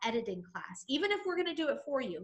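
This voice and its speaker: A woman speaks at a high pitch in a raised, projected voice. Her tone is bright, sharp and energetic. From New England. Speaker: real estate trainer. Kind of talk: training webinar.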